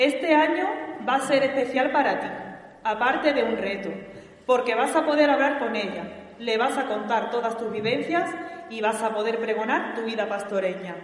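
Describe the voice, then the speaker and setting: A woman talks at a moderate pace with a high pitch and lively intonation. Noticeable background noise runs underneath. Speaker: daughter of the pregonera, presenting her. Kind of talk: formal introduction speech, read aloud.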